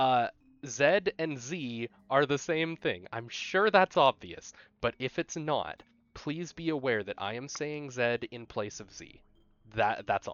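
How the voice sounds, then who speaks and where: Here is a man with a plain, everyday voice, fairly high in pitch. He speaks fairly slowly, with lively intonation. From Canada. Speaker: speedrunner. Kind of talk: tutorial. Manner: unscripted, casual with fillers.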